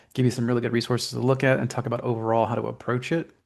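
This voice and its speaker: Over a quiet background, a man speaks at a very fast pace with vocal fry. His intonation is monotone and flat. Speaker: webinar presenter. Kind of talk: instructional webinar walkthrough. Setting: online webinar.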